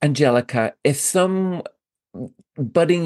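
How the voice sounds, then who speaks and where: A man with a British accent speaks in an enthusiastic tone with lively intonation, the sound dry and close with no echo against a quiet background. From England. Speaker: podcast host and yoga business coach. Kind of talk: casual interview chat.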